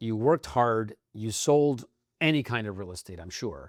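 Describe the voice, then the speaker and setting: Lively intonation marks a man's plain, everyday voice at a moderate pace, recorded with a dry, close sound with no echo. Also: very clean recording, silent background. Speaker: podcast host. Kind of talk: podcast interview.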